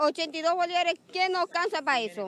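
A woman's voice, dry with no echo, over light background noise. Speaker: contract sanitation worker, protester. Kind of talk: protest speech, aggrieved complaint. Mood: indignant, complaining. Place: street. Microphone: handheld.

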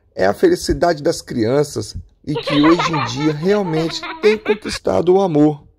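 This man speaks at a fairly slow pace in a playful tone. His pitch sits fairly high. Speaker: stand-up comedian and community leader. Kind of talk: stand-up comedy. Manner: animated, laughs at own jokes; casual, playful.

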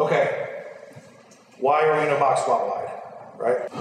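A man's voice comes through with light background noise and an audible room echo. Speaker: strength coach presenter. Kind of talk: lecture. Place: gym.

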